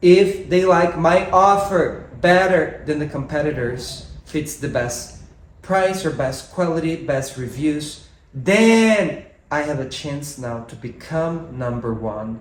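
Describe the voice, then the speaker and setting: Lively in intonation, a man with fairly high pitch for a man speaks at a very slow pace amid audible room echo. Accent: Brazilian. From Brazil. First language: Portuguese. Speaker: podcast co-host and musician. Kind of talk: casual chat. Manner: animated.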